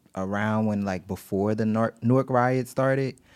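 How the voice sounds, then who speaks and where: An American accent comes through on a very clean recording with a silent background. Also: man. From East Orange, New Jersey. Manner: animated, excitable.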